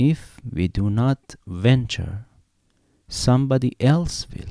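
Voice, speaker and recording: Very slowly, a man with a non-native accent speaks in a dark, mellow tone with ordinary pitch variation, recorded dry and close with no echo. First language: not English. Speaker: amateur reader. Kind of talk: audiobook reading.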